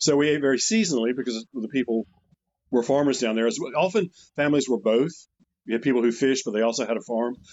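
A man rattles off his words very fast, his pitch in the middle range. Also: ordinary pitch variation. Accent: eastern North Carolina. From eastern North Carolina. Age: 70s. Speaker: retired chef. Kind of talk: casual interview chat. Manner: halting, many fillers.

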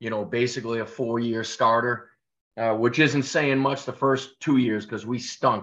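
Here is a plain, everyday voice with fairly even intonation, moving at a moderate pace. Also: man. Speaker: college football coach. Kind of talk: casual interview. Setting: call. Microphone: connection issues, heavily edited.

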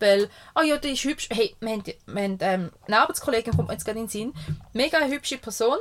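A woman's fairly high voice with lively intonation at a very fast pace, in a very clean recording with a silent background. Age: 30s. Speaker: podcast co-host, mother. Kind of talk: casual chat. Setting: caravan studio.

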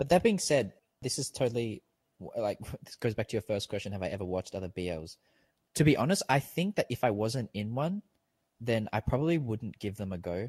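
A man in an Australian accent with medium pitch, a somewhat breathy voice, lively intonation, a fairly quick pace and a dry, close sound with no echo. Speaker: podcast guest. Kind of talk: casual chat. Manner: animated, rambling with many fillers.

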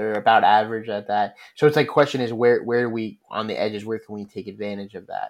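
Here a man talks at a fairly quick pace with a fairly low pitch and a plain, everyday voice. The recording is very clean, with a silent background. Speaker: podcast co-host. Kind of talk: casual sports podcast discussion.

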